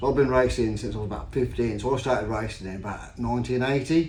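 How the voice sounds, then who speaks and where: A man at a medium pitch talks very fast with ordinary pitch variation. Audible room echo and noticeable background noise surround his voice. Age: 50s. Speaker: stock car racer and vlogger. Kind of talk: casual vlog commentary.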